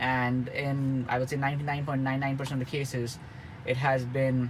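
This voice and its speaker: There is audible room echo as a medium-pitched man talks at a moderate pace in a monotone, flat intonation. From India. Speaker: car reviewer. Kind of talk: product review. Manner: hesitant with many fillers and repetitions.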